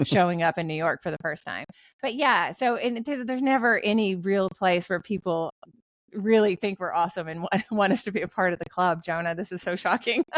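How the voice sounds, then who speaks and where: Speaking at a fairly quick pace with a Tennessee accent, a woman uses medium pitch and ordinary pitch variation in a dry, close sound with no echo. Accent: Southern US (Tennessee). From US South, western Tennessee. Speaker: author and ghostwriter. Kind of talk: podcast interview.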